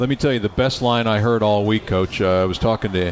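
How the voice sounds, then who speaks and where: Fairly quick and fairly low-pitched, a man talks with fairly even intonation over noticeable background noise. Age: 60s. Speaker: radio play-by-play announcer and show host. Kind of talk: live radio sports show, interviewing. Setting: live from a restaurant studio.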